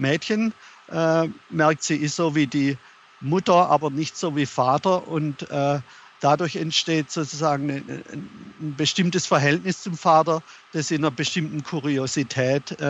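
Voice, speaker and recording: A man talks very slowly at a fairly high pitch, keeping his intonation fairly even. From Germany. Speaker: author. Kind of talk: interview. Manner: halting.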